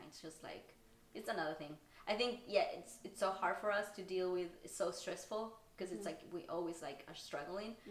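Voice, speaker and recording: Against noticeable background noise, a woman with a Spanish accent speaks fairly quickly at a fairly low pitch. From Argentina. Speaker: stand-up comedian. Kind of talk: podcast interview answer.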